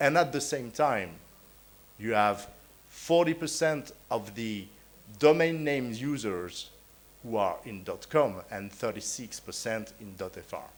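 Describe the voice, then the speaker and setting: A man with a French accent at a fairly slow pace, with long, frequent pauses and audible room echo. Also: medium pitch for a man, big swings in loudness. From France. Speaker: conference panelist, internet registry official. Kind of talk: conference talk. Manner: hesitant, many fillers.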